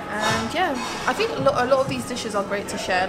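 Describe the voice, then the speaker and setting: A woman talks over loud music in the background. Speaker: food vlogger. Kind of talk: casual vlog chat. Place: cafe. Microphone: camera far.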